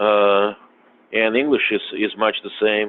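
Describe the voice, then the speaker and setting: A man's fairly low voice in a Russian accent at a very slow pace. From Russia, then US from age eight. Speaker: podcast guest. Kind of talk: casual chat. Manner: halting, many fillers.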